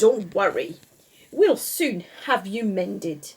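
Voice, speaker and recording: A woman uses a put-on character voice with a fairly high pitch, speaking at a fairly slow pace. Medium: read story. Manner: fussy, exclamatory.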